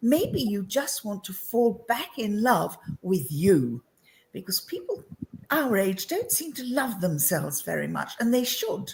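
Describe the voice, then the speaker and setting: Speaking at a fairly slow pace in a southern English accent, a woman uses a medium pitch with very wide pitch swings. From England (London). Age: 70s. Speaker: entrepreneur and women's coach. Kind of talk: interview chat.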